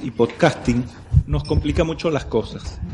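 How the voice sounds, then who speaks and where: A man's medium-pitched voice with a Galician accent and lively intonation. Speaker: podcaster. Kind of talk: casual panel chat. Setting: live event in a brewery.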